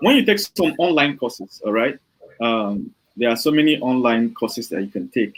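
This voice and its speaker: A man with a Nigerian accent at a moderate pace, very wide pitch swings, and a dry, close sound with no echo. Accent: Nigerian, full. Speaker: software developer and online trainer. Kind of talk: interview. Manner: hesitant, many fillers.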